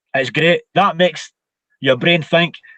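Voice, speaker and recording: In a dry, close sound with no echo, a man with a high pitch and bright, sharp tone speaks at a moderate pace. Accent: Scottish. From Scotland. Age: 50s. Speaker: martial arts instructor. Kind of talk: interview.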